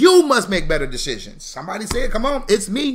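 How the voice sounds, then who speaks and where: A man talks loudly. His pace is fairly quick. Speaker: financial educator, founder of a financial literacy school. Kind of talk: motivational live stream talk. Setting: live stream with chat. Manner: fast.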